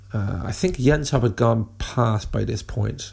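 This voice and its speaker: With a British accent and a medium pitch, a man is heard over noticeable background noise. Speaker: listener. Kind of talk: recorded voice message.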